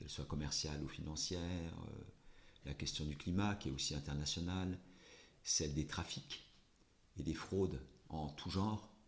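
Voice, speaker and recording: A man with a very deep, low pitch speaks at a fairly slow pace. His voice has vocal fry and ordinary pitch variation. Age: 60s. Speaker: politician. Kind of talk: interview. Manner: hesitant, many fillers.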